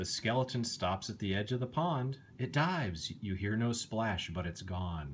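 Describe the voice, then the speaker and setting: A somewhat breathy voice runs on with hardly any pauses over light background noise. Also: man, fairly low pitch for a man. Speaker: bedtime story reader. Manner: slow, animated, dramatic pauses with suspenseful emphasis and gasping character voices; gentle, soothing, kid-friendly, coaxing the listener along. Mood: calm, gently spooky storytelling. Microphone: phone near.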